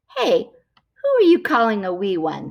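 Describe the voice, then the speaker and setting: A put-on character voice, female-sounding, fairly high in pitch, at a moderate pace. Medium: read story.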